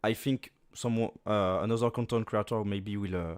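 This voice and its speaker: Speaking with a French accent and fairly even intonation, a man comes through dry and close, with no echo. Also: very clean recording, silent background. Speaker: gaming content creator. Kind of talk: casual interview Q&A. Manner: halting.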